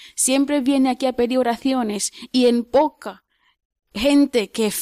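A woman speaks fairly slowly in a high voice with a dark, mellow tone. The sound is dry and close, with no echo. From Kenya. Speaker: nun. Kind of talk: interview.

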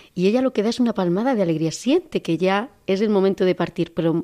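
Her pitch sits in the medium range for a woman, and her intonation is lively. The recording is very clean, with a silent background. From Andalusia, Córdoba. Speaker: nun. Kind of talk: testimony. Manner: halting.

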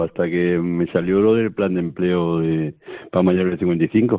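A man talks with ordinary pitch variation. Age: 50s. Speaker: charity program worker. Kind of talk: radio interview testimony. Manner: halting.

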